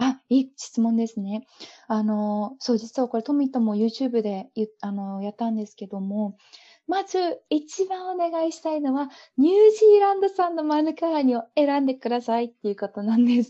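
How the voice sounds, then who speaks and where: Her voice swings very widely in pitch. This woman has a high pitch and a dark, mellow tone. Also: moderate pace, big swings in loudness. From Japan. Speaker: owner of an import business. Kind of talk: casual interview. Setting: video call.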